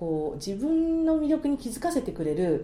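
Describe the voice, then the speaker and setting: The voice has a dark, mellow tone and very wide pitch swings. Its pace is moderate. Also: woman. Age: 50s. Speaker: marriage agency matchmaker. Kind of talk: casual chat. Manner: animated.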